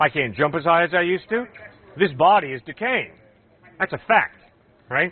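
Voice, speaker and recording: Speaking at a moderate pace with long, frequent pauses, a man uses a high-pitched voice. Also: lively intonation. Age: 60s. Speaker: campus evangelist. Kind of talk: open-air Q&A with students. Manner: animated.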